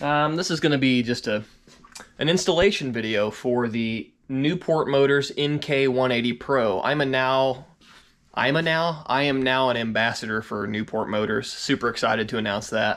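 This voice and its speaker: A man's medium-pitched voice with ordinary pitch variation, in a very clean recording with a silent background. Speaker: fishing YouTuber. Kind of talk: tutorial. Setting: garage. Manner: fast.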